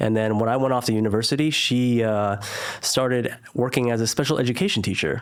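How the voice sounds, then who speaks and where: A man with a Californian accent speaks at medium pitch. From Northern California (Silicon Valley). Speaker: entrepreneur, former lawyer. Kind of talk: interview conversation.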